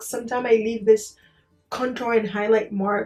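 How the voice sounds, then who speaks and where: Music plays behind a woman whose voice sits fairly high. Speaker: beauty vlogger. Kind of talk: makeup tutorial chat. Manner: soft-spoken, low energy.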